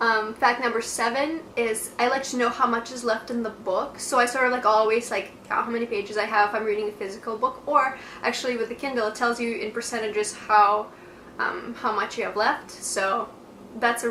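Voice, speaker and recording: A woman speaks at a fairly quick pace with a fairly high pitch and fairly even intonation, over noticeable background noise and audible room echo. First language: Russian. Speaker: book vlogger. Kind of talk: casual talking-head video monologue. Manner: casual with frequent fillers.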